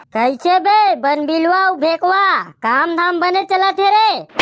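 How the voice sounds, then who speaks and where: A woman does a cartoonish character voice at an extremely high pitch, with lively intonation. She goes at a fairly slow pace, and her loudness stays very even. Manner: scolding, condescending.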